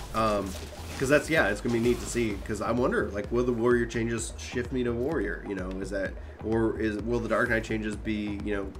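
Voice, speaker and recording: A man speaks with music in the background. Audible room echo surrounds his voice. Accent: American. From Texas. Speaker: gaming streamer. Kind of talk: casual chat. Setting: live stream with voice chat. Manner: hesitant, many fillers.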